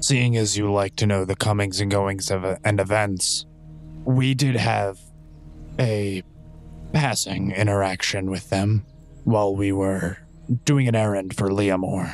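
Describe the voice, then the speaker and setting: Using a put-on character voice, a man speaks at a fairly slow pace and a fairly low pitch, with long, frequent pauses and clear music in the background. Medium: actual play. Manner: articulate, formal.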